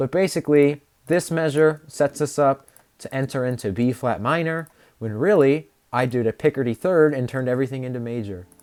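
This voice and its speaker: Talking at a fairly quick pace, a man with a medium pitch uses ordinary pitch variation in a dry, close sound with no echo. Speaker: composer and music student streamer. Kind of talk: livestream explanation of own composition. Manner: fast; halting, self-correcting.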